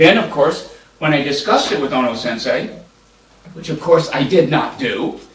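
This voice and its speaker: The recording carries noticeable background noise and an audible room echo. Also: man. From US, military upbringing. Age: 70s. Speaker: law professor. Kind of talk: panel discussion. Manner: halting.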